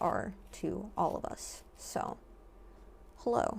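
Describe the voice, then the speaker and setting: A woman talks with vocal fry. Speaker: art vlogger. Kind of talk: casual monologue while painting. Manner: rambling with many fillers.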